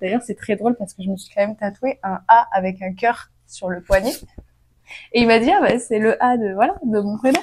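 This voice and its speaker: Speaking at a moderate pace, a woman with a fairly high pitch sounds animated, her pitch varying in an ordinary way while her loudness swings widely. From France. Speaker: vlogger. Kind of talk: casual storytime vlog. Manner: animated, hesitant with fillers.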